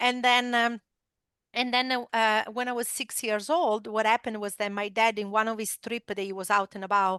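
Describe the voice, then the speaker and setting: Bright, sharp tone with an Italian accent, ordinary pitch variation, and a dry, close sound with no echo over a quiet background. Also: woman. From Italy. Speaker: esports company founder and former motorcycle racer. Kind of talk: interview storytelling. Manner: many filler words, hesitant.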